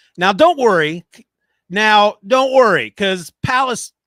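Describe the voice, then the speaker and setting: A man's high voice, bright and sharp in tone, with lively intonation at a very slow pace, dry and close with no echo, on a very clean recording with a silent background. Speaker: podcast host. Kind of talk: live stream recording podcast narration. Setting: live stream. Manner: soft-spoken; halting, with retakes.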